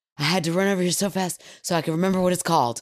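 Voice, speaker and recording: Doing a put-on character voice, a man talks at a very fast pace in a raspy, high-pitched voice. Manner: panicked, hurried.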